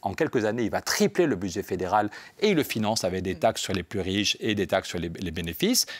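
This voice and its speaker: A man talks at a fairly quick pace in a fairly low voice. His intonation is lively. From France, Pyrenees. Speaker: member of European Parliament, politician. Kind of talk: radio interview. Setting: radio studio in European Parliament. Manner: fast; animated.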